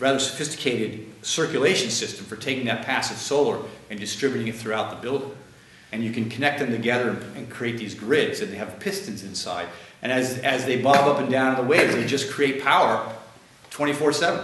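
A man's fairly quick speech with ordinary pitch variation and audible room echo. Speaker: guest lecturer. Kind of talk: lecture. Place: classroom. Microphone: camera far.

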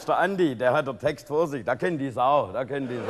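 Background noise is noticeable throughout. The speaker is a man. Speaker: comedian in sketch. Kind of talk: comedy sketch dialogue. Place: studio. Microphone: lapel.

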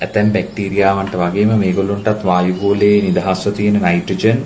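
At a very slow pace, the voice stays monotone and flat, with audible room echo and noticeable background noise. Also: man. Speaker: biology teacher. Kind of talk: lecture.

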